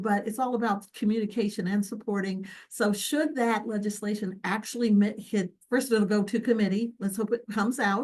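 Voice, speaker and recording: Somewhat breathy, a woman speaks at a fairly quick pace with fairly even intonation. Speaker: physician leader. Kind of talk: video call presentation. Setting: video call. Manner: fast.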